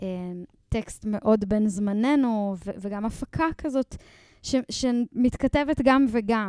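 On a very clean recording with a silent background, a woman with a fairly high pitch speaks in a dark, mellow tone with ordinary pitch variation. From Israel, Ein Sarid near Netanya. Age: 20s. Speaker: singer and lyricist. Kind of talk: casual interview.

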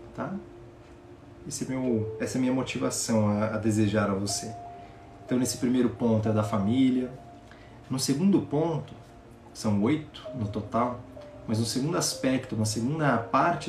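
A man with a warm tone talks at a moderate pace with long, frequent pauses, over music in the background and audible room echo. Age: 20s. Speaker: podcast host, personal development coach. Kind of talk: live motivational talk. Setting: live stream. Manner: warm, reflective.

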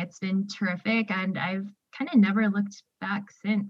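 Somewhat breathy and set at a medium pitch, the woman's voice stays monotone and flat in intonation. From Texas, Houston suburb. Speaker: newspaper editor and hiker. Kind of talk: casual interview.

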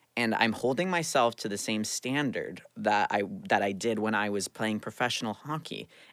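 A man with a plain, everyday voice, medium pitch and lively intonation at a moderate pace, on a very clean recording with a silent background. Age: 20s. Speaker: actor and former pro hockey player. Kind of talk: casual chat.

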